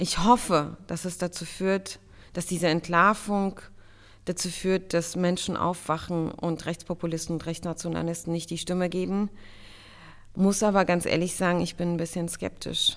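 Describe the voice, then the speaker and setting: The recording is very clean, with a silent background. The speaker talks at a moderate pace in a flat, monotone way. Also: woman, fairly low pitch for a woman. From Germany, child of refugee parents. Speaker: state secretary and politician. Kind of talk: interview.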